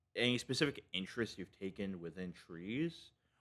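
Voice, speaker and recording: At a fairly slow pace, a man with a fairly low pitch speaks with lively intonation. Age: 20s. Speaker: interviewer. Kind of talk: casual interview. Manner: halting, many fillers.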